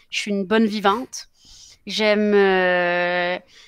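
Against a quiet background, a woman speaks at a medium pitch with fairly even intonation in a dry sound with no echo. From Quebec. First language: Spanish (speaking French). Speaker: politician; politician interviewee. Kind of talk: interview. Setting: live broadcast. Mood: calm, friendly. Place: home room. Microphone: headset.

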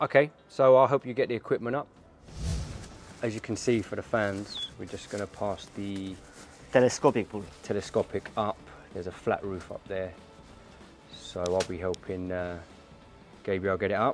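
A man speaks at a moderate pace in a fairly low voice, with ordinary pitch variation and big swings in loudness. He leaves long, frequent pauses, and there is light background noise. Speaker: video host. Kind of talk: casual vlog chat. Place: street. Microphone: lapel.

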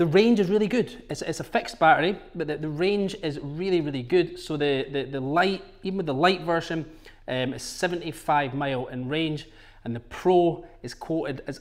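A man with ordinary pitch variation against a quiet background. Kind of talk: product walkthrough. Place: shop.

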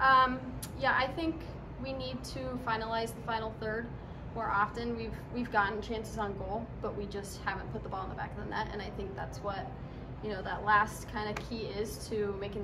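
Noticeable background noise around a woman speaking at a moderate pace. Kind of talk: interview answer. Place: hall. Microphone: phone near.

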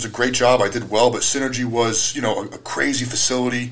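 A medium-pitched male voice with an American accent, over noticeable background noise. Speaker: strongman and gym owner. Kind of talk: casual chat. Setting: studio.

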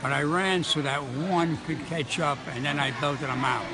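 Noticeable background noise runs under the clip. A man speaks with ordinary pitch variation. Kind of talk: interview answer. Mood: amused storytelling. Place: gym. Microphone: handheld.

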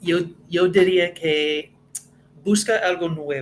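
With an American accent, a man talks at a fairly high pitch and with fairly even intonation over light background noise. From US, Connecticut. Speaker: Spanish learner, former fast-food manager. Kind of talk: interview. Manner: halting, with many fillers.

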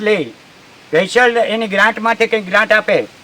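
Noticeable background noise sits behind the voice. A man with a high pitch speaks with fairly even intonation. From Junagadh district, Saurashtra, Gujarat. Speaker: farmer. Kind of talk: on-site news interview. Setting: outdoors, riverbank.

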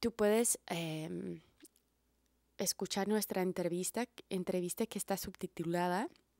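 With an American accent, a woman talks at a fairly slow pace in a dark, mellow tone and fairly low pitch, the sound dry with no echo over a quiet background. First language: English (speaking Spanish). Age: 30s. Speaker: herbalist and video blogger; wellness content creator. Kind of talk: monologue to camera. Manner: halting, repeats words. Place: home room. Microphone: handheld.

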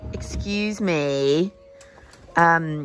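Clear music plays in the background as a woman speaks, the sound dry with no echo. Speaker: horse rider vlogger. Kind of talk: casual vlog chat. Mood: nervous before competition. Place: farm. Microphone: phone near.

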